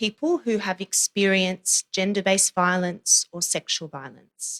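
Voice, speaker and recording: A woman speaks at a moderate pace with an Australian accent, in a dry, close sound with no echo. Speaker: humanitarian protection advisor. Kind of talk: conference presentation.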